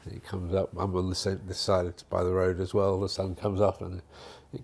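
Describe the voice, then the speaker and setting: This man speaks with a southern English accent. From southern England, Hertfordshire. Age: 70s. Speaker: retirement home resident. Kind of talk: casual interview chat.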